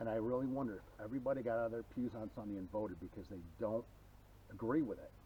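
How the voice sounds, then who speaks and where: A man's somewhat breathy voice, dark and mellow in tone and medium in pitch with ordinary variation, moves at a very fast pace. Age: 50s. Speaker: hiker friend. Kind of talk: casual chat.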